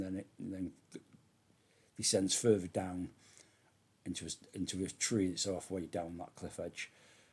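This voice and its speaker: His pitch sits very deep and low. The speaker is a man. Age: 50s. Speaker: drone hobbyist vlogger. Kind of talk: casual video blog walkthrough. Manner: halting.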